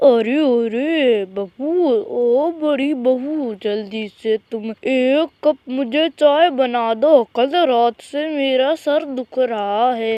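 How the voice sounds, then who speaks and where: A woman uses a cartoonish character voice at a high pitch. She talks at a very slow pace with hardly any pauses. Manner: soft, pleading.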